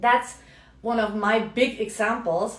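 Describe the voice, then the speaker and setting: With audible room echo behind her, a woman speaks very slowly in a German accent. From Germany. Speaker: business coach. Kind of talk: casual talk to camera. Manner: conversational, with fillers.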